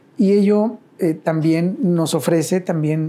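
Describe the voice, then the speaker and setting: Against a silent background in a very clean recording, a man speaks with a dark, mellow tone and fairly even intonation. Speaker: university director of social impact, ethics professor. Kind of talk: interview. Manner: hesitant, many fillers and repetitions.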